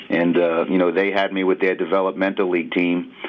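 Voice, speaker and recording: Noticeable background noise fills the clip. Over it, a man talks in a fairly low voice. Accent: New York. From New York City. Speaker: basketball assistant coach. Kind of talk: sports radio interview. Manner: halting, many fillers.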